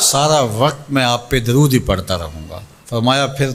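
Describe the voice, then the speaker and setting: A man's medium-pitched voice with ordinary pitch variation against noticeable background noise. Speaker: Islamic preacher. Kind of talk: Islamic religious sermon.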